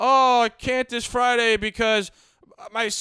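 With a raised, projected voice, a man speaks at a fairly slow pace with extremely high pitch, a bright, sharp tone and fairly even intonation, in a very clean, dry, close recording with a silent background and no echo. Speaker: podcast co-host.

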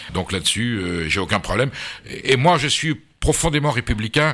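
Pitch in this man's speech leaps across a very wide range. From France, Basque Country. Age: 60s. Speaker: food journalist and politician. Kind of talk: radio interview.

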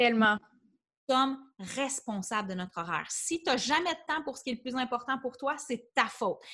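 Over a quiet background, a woman speaks in a raised, projected voice at a high pitch, with a bright, sharp tone, lively intonation, and a moderate pace. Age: 30s. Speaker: life coach. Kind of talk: interview.

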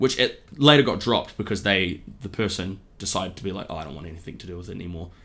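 In a New Zealand accent, a man with a very deep, low pitch talks at a very fast pace with lively intonation. His tone is bright and sharp, and his loudness swings widely. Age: 20s. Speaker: comedian. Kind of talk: casual chat.

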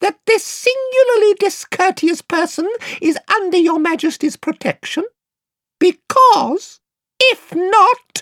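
This put-on character voice sits at an extremely high pitch and sounds shrill. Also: fairly slow pace. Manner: courtly, formal, proud.

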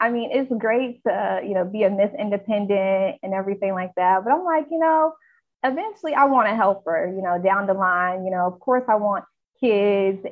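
Music sits behind a woman with a medium-pitched voice. Her intonation is lively and her pace moderate. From North Carolina, US South. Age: 20s. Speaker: health reporter. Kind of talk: casual chat.

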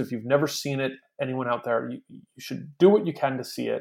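A man with a normal speaking voice at a moderate pace. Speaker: podcast co-host. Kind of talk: casual chat.

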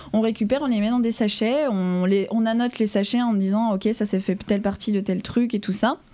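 A woman talks fairly quickly at a fairly high pitch, her dark, mellow tone holding very even loudness and fairly even intonation. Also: hardly any pauses. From France, Dijon (Burgundy). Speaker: paleontology student. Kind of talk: interview.

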